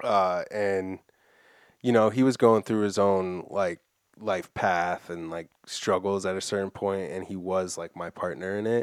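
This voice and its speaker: A man with an American accent speaks at a fairly slow pace in an ordinary speaking voice. His pitch is fairly low, and the recording is very clean with a silent background. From Massachusetts (Framingham). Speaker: skateboarder and screen printer. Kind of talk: casual chat.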